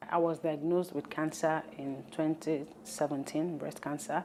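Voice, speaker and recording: Her voice is dark and mellow, very deep and low for a woman, moving at a moderate pace with ordinary pitch variation. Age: 30s. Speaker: cancer survivor. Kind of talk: testimony.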